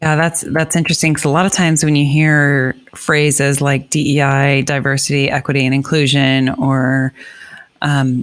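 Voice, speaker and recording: In a monotone, flat intonation, a woman with a very deep, low pitch talks at a moderate pace and very even loudness. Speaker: podcast host, foundation executive director. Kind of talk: podcast host talk.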